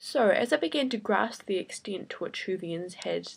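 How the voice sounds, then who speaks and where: Lively intonation runs through this voice, spoken in a southern New Zealand accent. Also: woman. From New Zealand, Invercargill. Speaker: vlogger. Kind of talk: casual vlog monologue. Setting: bedroom.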